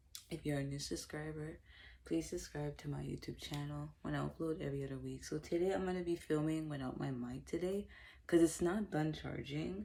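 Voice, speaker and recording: Soft-spoken, this voice moves along at a fairly quick pace. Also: woman. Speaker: makeup vlogger. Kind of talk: casual product review vlog.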